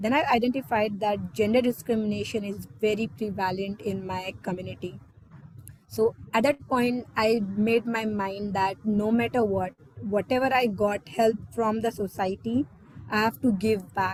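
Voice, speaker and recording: Speaking with an Indian accent, a woman has a fairly high pitch and fairly even intonation. Her pace is moderate. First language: not English (Indian language). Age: 20s. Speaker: exchange student speaker. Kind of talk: personal talk in online meeting.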